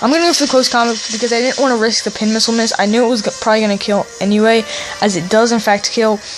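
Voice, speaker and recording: Very fast speech over noticeable background noise. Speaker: gaming YouTuber. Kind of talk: gameplay commentary.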